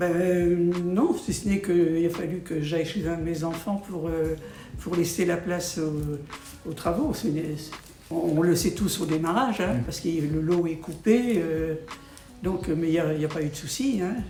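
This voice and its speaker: A woman's fairly low voice at a fairly slow pace over music in the background. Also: ordinary pitch variation. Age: 80s+. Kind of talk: interview answer. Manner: hesitant.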